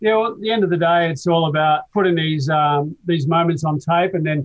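An Australian accent colors this speech. It moves along fairly quickly. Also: man. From Adelaide, South Australia. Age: 60s. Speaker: surf film cinematographer and director. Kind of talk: casual interview.

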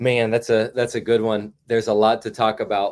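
Captured on a very clean recording with a silent background, a normal speaking voice carries fairly even intonation. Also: man. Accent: American. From Indiana (Carmel, near Indianapolis). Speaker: college basketball assistant coach. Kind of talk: casual interview.

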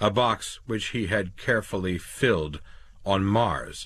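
Pitch varies in an ordinary way throughout an unforced reading voice.

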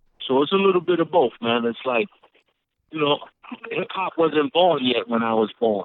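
Pausing long and often, a man with fairly high pitch speaks at a moderate pace with lively intonation. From Brooklyn, New York (Brownsville); Puerto Rican. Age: 50s. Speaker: rapper. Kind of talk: interview. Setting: phone call.

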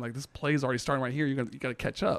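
A man with an American accent speaks at medium pitch with fairly even intonation. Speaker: sports broadcast traffic coordinator. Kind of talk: casual chat. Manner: fast talker.

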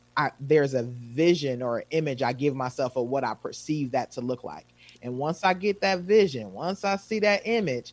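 In an American accent, a man with an unremarkable speaking voice talks at a moderate pace, his fairly high pitch carried by lively intonation. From Wisconsin. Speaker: self-care coach. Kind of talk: casual chat.

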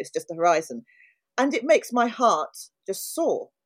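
This speaker has a London accent and talks at a fairly quick pace. The pitch swings very widely, with vocal fry throughout. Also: woman. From South London. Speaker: podcast co-host. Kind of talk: casual interview chat.

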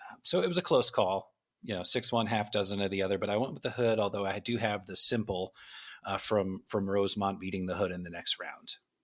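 A man with an ordinary speaking voice talks fairly quickly at a fairly low pitch. His intonation stays fairly even on a very clean recording with a silent background. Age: 40s. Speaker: podcast guest, music fan. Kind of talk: casual chat.

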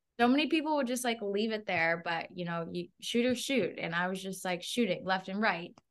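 Against a quiet background, a woman with an American accent speaks with ordinary pitch variation. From Massachusetts, Norfolk County. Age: 20s. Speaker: real estate agent and entrepreneur. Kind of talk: interview. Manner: animated.

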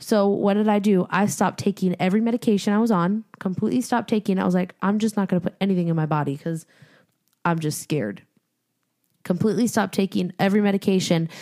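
On a very clean recording with a silent background, a woman speaks at a very fast pace with fairly even intonation and very even loudness. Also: medium pitch for a woman, dry, close sound with no echo. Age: 20s. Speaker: podcast co-host. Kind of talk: casual chat.

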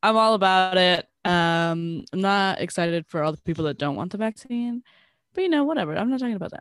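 An ordinary speaking voice, fairly quick and with lively intonation. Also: woman. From Southern California. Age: 20s. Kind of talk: casual chat.

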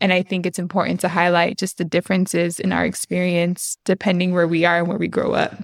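In a very clean recording with a silent background and a dry, close sound with no echo, a woman with vocal fry and fairly low pitch talks very fast in a monotone, flat intonation with hardly any pauses. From Honduran-American heritage. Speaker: podcast host. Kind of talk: casual interview.

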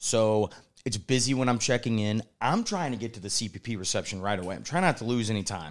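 Talking at a very fast pace, a man with a medium pitch sounds animated, his intonation lively. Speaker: podcast host, critical care pharmacist. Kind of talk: casual chat. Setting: convention center, in person.

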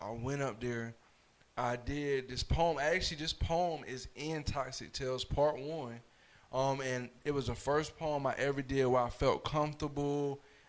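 With an American accent, a man talks fairly slowly in a fairly high pitch, his intonation fairly even. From Fayetteville, North Carolina. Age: 20s. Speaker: spoken word poet and mentor. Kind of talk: casual chat.

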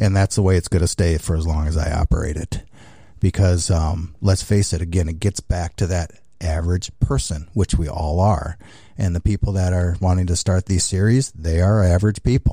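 On a very clean recording with a silent background, a man with a very deep, low voice and a dark, mellow tone talks at a moderate pace, somewhat breathy and fairly even in intonation. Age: 60s. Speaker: racing series founder. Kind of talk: interview. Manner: halting.

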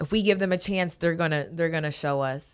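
An unremarkable speaking voice from a woman, fairly low in pitch with ordinary pitch variation, on a very clean recording with a silent background. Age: 20s. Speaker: boxer. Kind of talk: casual chat. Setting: studio.

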